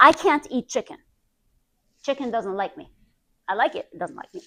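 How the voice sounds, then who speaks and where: Her voice raised and projected, a woman speaks at a moderate pace with an animated, bright, sharp tone, a high pitch and very wide pitch swings. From Iran. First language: not English. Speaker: health practitioner. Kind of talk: presentation. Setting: group presentation.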